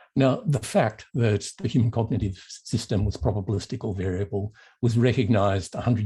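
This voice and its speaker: In an Australian accent, a man with a dark, mellow, somewhat breathy tone speaks at a fairly low pitch with ordinary pitch variation. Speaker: professor of mathematical psychology. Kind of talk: lecture.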